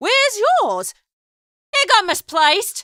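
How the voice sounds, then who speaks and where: A squeaky, put-on character voice sits at an extremely high pitch. It speaks at a fairly slow pace. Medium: read story. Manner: jaunty, flippant.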